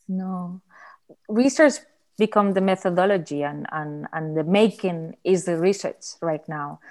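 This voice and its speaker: With a Spanish accent, a woman speaks at a fairly slow pace with a medium pitch and ordinary pitch variation. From Barcelona, Spain. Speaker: artist and photographer. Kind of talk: casual conversation.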